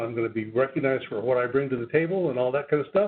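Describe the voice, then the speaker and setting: Speaking at a very fast pace, a man has a medium pitch. His pitch variation is ordinary. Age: 70s. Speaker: public health professor. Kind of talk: webinar Q&A. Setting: audio-only webinar.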